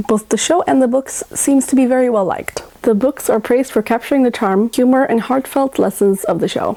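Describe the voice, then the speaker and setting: A woman's high-pitched voice at a fairly quick pace, with ordinary pitch variation and noticeable background noise. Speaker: children's book reviewer, Montessori teacher. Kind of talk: book review vlog.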